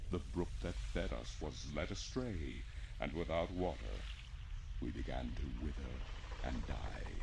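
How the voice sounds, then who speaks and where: Someone uses a put-on character voice at a moderate pace over loud background noise. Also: man. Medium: game stream. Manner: solemn, mournful, speaks as "we".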